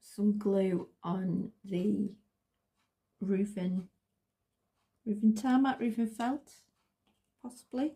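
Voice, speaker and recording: At a very slow pace with long, frequent pauses, a woman speaks in a dark, mellow, somewhat breathy tone with ordinary pitch variation. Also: medium pitch for a woman. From northern England. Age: 40s. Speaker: craft vlogger. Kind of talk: casual crafting vlog. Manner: halting, repeats words.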